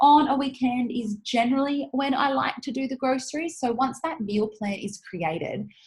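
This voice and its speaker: A woman talks in a high voice with ordinary pitch variation and hardly any pauses. Noticeable background noise runs underneath. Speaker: podcast host. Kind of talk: casual monologue. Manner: fast; animated.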